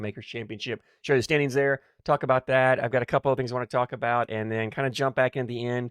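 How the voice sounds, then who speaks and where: A man talks at a very fast pace with a medium pitch and ordinary pitch variation. The sound is dry and close with no echo, and the background is quiet. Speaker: cornhole podcaster and bag reviewer. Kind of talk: casual podcast monologue. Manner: halting, repeats words.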